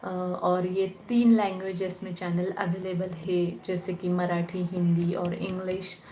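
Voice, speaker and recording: A woman with a Marathi accent speaks at medium pitch in a monotone, flat intonation, with audible room echo and noticeable background noise. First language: Marathi (speaking Hindi). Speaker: spiritual channel host. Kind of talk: live stream Q&A chat. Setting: live online call. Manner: casual, conversational.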